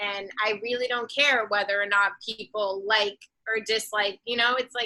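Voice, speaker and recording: A woman's fairly high voice with a strong Boston accent, bright and sharp in tone, at a moderate pace with monotone, flat intonation. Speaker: singer-songwriter and artist. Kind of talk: casual interview chat.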